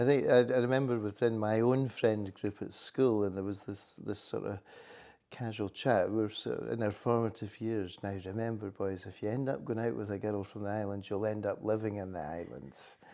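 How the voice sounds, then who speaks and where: A man with a Highland Scottish accent speaks at a moderate pace in a fairly low pitch, his tone dark and mellow and his pitch varying an ordinary amount. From Scottish Highlands. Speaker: chamber of commerce chief executive. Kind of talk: interview. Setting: hotel.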